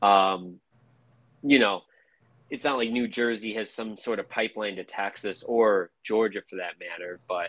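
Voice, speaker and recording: A man's ordinary speaking voice, fairly low-pitched, with an American accent, fairly even intonation, a moderate pace and big swings in loudness. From Chicago. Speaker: sports podcast host. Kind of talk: casual chat.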